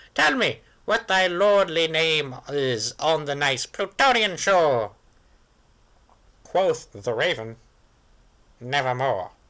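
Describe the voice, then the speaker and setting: Putting on a character voice, a man speaks at a very slow pace with a fairly high pitch and long, frequent pauses against a quiet background. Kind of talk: poetry reading. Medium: read story.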